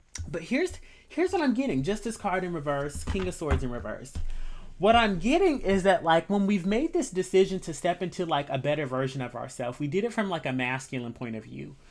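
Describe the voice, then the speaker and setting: Over music in the background, a woman speaks at a fairly quick pace in a fairly low pitch with very wide pitch swings. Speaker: tarot reader. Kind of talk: tarot reading. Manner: casual, conversational.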